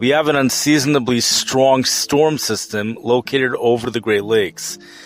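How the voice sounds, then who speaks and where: Over music in the background, a man speaks at a medium pitch and a fairly slow pace. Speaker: weather podcast host. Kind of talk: weather podcast narration.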